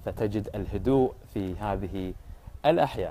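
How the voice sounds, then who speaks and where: His pitch moves in an ordinary way. The man's tone is dark and mellow. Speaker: local reporter vlogger. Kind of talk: walking report narration. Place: street. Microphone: phone near.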